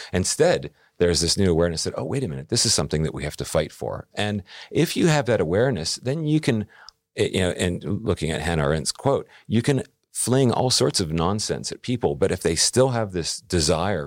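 A man's fairly low voice with vocal fry and an American accent, very wide pitch swings and a fairly quick pace, on a very clean recording with a silent background. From US. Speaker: newspaper editor and podcast creator. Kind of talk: interview conversation.

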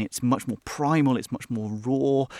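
A man with a British accent talks in a medium pitch with ordinary pitch variation. The recording is very clean with a silent background and a dry, close sound without echo. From UK. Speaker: journalist and author. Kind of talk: interview.

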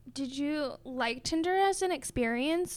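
A woman's voice, high in pitch. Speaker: podcast host. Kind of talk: casual chat. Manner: giggly.

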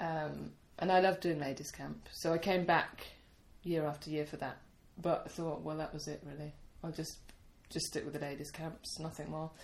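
A woman with a British accent at a moderate pace, flat and monotone in intonation. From United Kingdom. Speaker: camp teacher and song leader. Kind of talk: casual interview chat. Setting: sitting in a room in Poland.

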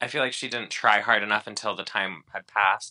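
A man's bright, sharp tone stands out over a quiet background. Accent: slight Chicago. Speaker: podcast co-host. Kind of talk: casual chat. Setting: remote call.

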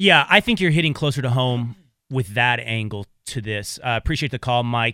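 A man in an ordinary speaking voice, at a medium pitch with ordinary pitch variation and a moderate pace. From Texas (small town). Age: 30s. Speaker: radio host. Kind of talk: casual chat.

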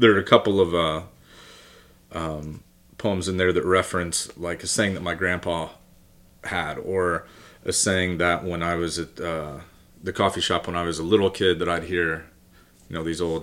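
Long, frequent pauses break up a man's very deep, low voice, delivered with monotone, flat intonation. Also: very clean recording, silent background. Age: 40s. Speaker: poet. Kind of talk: casual chat. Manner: halting.

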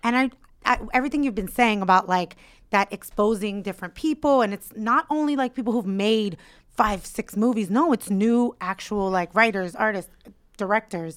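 With a plain, everyday voice, a woman speaks at a fairly high pitch and a moderate pace, with ordinary pitch variation, in a very clean recording with a silent background and a dry, close sound with no echo. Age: 30s. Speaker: co-host and comedian. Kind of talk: casual chat.

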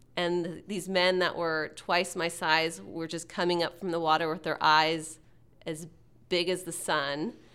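A woman's bright, sharp, fairly low voice with an American accent. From Texas. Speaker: tech communications executive. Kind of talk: interview.

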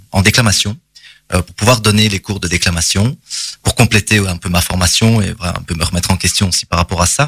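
Fairly low pitch from a man, very clean recording, silent background. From Belgium, Charleroi area. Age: 30s. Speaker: drama teacher and actor. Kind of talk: interview. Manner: hesitant with many fillers.

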